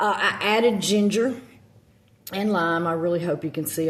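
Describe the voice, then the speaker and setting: A woman speaks in a Southern US accent with ordinary pitch variation. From US South. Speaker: witchcraft content creator. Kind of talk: casual vlog talk. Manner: halting, many fillers.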